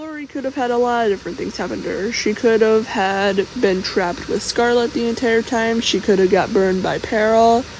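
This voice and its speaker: A soft-spoken woman talks at a fairly quick pace with a fairly high pitch. Her pitch varies in an ordinary way, and there is noticeable background noise. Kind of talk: casual fan theory talk. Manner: quiet, soft-spoken.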